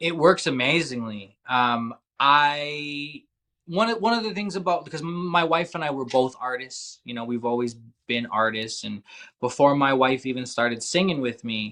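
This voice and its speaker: Lively intonation and a bright, sharp tone at a moderate pace. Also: man, fairly high pitch for a man. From Canada, Calgary. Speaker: musician in addiction recovery. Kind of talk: podcast interview.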